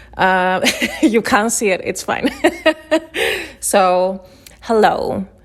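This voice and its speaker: A woman speaks at a medium pitch with a Chilean accent. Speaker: illustrator. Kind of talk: presentation talk. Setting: at home in her flat.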